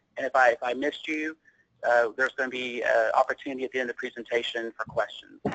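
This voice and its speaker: A man at a very fast pace, the sound dry and close with no echo. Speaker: healthcare operations director and accountant. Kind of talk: presentation.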